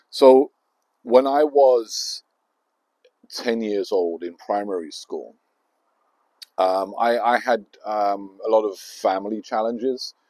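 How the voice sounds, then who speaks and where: With a London accent, a man speaks at a very slow pace and medium pitch, showing ordinary pitch variation and long, frequent pauses. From southeast London. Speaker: YouTuber. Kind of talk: personal storytelling. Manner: halting, many fillers.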